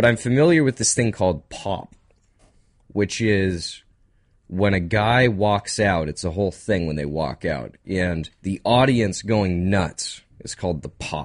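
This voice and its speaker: Against a quiet background, a normal speaking voice moves at a fairly slow pace with lively intonation. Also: man, fairly low pitch for a man. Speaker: radio host. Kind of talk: casual chat. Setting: studio.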